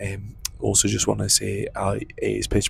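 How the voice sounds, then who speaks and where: Noticeable background noise runs through the clip. Over it, a man whispers. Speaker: travel vlogger. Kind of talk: travel vlog narration. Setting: on a train; train station. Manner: whispering.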